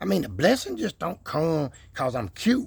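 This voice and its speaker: A man talks in an animated tone, his pitch swinging very widely. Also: very clean recording, silent background. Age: 60s. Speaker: YouTuber, homesteader. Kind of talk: casual vlog monologue. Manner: animated, preachy.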